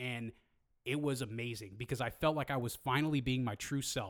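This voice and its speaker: An animated man with a Californian accent and a medium pitch. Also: very clean recording, silent background. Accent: Californian American. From US West Coast (Hayward, California). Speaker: podcast co-host. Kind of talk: casual chat.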